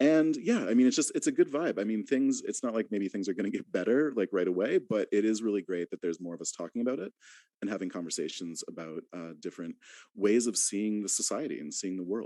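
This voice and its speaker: A man with a Canadian accent talks very fast at a fairly low pitch, his tone dark and mellow, in a dry, close recording with no echo that is very clean, with a silent background. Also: lively intonation. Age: 40s. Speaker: podcast host. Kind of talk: panel discussion.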